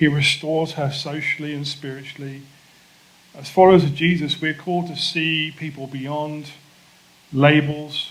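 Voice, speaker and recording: This man talks at a moderate pace in a fairly high, somewhat breathy voice with a monotone, flat intonation. His loudness swings widely, and the room echo is audible. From England. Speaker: pastor. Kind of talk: sermon.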